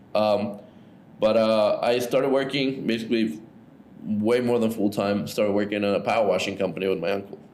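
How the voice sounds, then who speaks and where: Amid audible room echo, a man with fairly low pitch talks at a fairly quick pace, with fairly even intonation and very even loudness. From Ecuador. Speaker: entrepreneur. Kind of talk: casual interview. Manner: casual, filler-heavy.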